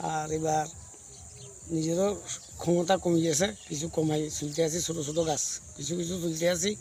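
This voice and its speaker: Noticeable background noise surrounds a man talking. His fairly high pitch holds a monotone, flat intonation. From Tripura, India (Kathalia, North Maheshpur). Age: 60s. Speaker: date palm sap tapper. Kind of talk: interview.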